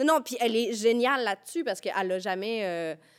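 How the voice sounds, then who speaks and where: A woman with a plain, everyday voice speaks with lively intonation. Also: very clean recording, silent background. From Quebec, Rivière-du-Loup. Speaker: playwright. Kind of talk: casual chat.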